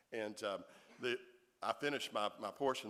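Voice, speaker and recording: A man in a Southern US accent talks with ordinary pitch variation. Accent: Southern US (Georgia). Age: 50s. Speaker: author. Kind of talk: audience Q&A. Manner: halting, many repeated words.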